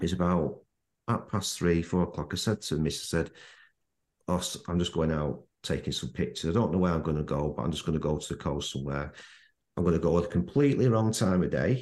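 A man's very deep, low voice in a Manchester accent, at a fairly quick pace with lively intonation, against a quiet background. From Manchester, England. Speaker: landscape photographer. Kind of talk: casual interview chat. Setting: remote call.

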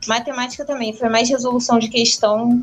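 Over music in the background, a woman talks in a fairly high pitch with flat, monotone intonation. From Rio de Janeiro, Brazil. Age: 20s. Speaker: medical student. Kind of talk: casual chat.

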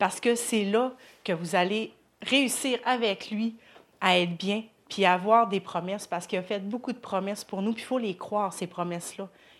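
On a very clean recording with a silent background, a woman speaks at a moderate pace. She has an unremarkable speaking voice, medium pitch, and fairly even intonation. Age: 30s. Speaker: churchgoer. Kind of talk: testimony. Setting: church.

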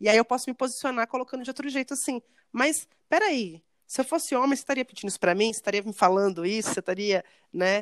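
A woman speaks very fast in a high voice with lively intonation. The recording is very clean and dry, close with no echo, over a silent background. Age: 30s. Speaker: educator. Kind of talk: casual chat.

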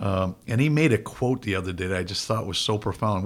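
A man's fairly low, somewhat breathy voice at a very fast pace, in a very clean recording with a silent background. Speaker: county sheriff and podcast host. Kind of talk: casual interview chat. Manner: conversational, joking.

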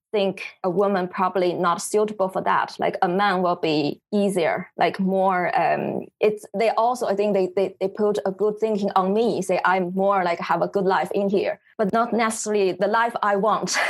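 A woman in a Chinese accent talks at medium pitch and a moderate pace, with hardly any pauses. Her intonation is monotone and flat, her loudness very even. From China, Beijing. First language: Mandarin Chinese. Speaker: photographer. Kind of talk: interview. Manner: halting.

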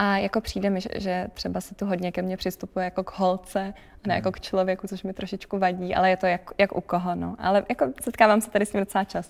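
A woman speaks at a medium pitch and a fairly quick pace, in a flat monotone. The recording is very clean with a silent background. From Czechia, Prague. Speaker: ballet dancer. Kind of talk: casual interview.

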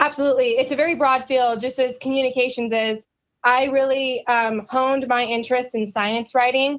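Speaking at a fairly quick pace, a woman with a US West Coast accent holds a high pitch in a flat monotone. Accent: US West Coast American. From US Pacific Northwest, Yakima Valley, Washington. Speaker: agricultural science communicator. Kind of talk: podcast interview.

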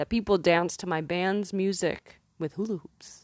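A woman with a plain, everyday voice speaks at a fairly slow pace and fairly low pitch with fairly even intonation. The sound is dry and close with no echo over a quiet background. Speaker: poet and musician. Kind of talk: poetry reading with a warm, intimate, spoken-word intro. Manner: playful, with bursts of laughter.

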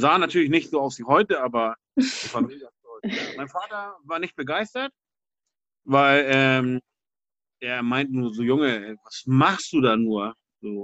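A man with a medium-pitched voice and lively intonation speaks fairly slowly, pausing long and often, in a dry, close sound with no echo. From Hamburg, Germany (St. Pauli). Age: 40s. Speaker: graffiti artist. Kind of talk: interview. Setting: video call. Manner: casual, hesitant with fillers.

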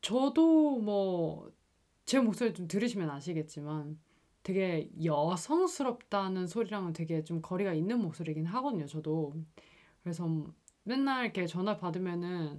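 A woman speaks with a plain, everyday voice. Her intonation is lively and her pace fairly slow. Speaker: podcast host. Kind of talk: casual chat.

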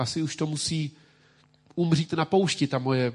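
Somewhat breathy, this man talks at a moderate pace with fairly even intonation. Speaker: pastor. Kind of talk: sermon.

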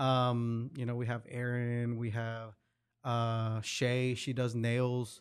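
A man speaks at medium pitch with monotone, flat intonation. His pace is very slow. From Hidalgo, Mexico, then Oklahoma. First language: Spanish. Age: 30s. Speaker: entrepreneur and merchant liaison. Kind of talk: casual interview chat.

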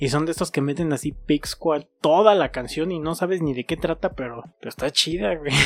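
At a moderate pace and with hardly any pauses, a man talks at a fairly high pitch. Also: ordinary pitch variation. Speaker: podcast co-host. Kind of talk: casual chat.

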